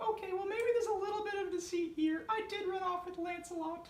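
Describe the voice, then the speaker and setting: Putting on a squeaky character voice with extremely high pitch, a woman talks very fast with fairly even intonation and slight echo. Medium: stage play.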